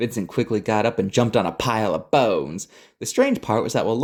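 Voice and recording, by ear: A natural voice reading aloud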